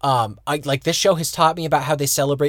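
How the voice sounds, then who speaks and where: A man speaks in a fairly high voice with an American accent. His delivery is somewhat breathy. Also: very clean recording, silent background. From United States. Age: 30s. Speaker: podcast co-host. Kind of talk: casual chat.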